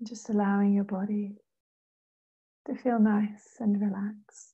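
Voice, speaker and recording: A woman speaks at a fairly slow pace in a medium pitch, her tone dark and mellow. Her delivery is monotone and flat, and somewhat breathy. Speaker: meditation guide. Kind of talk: casual talk to camera.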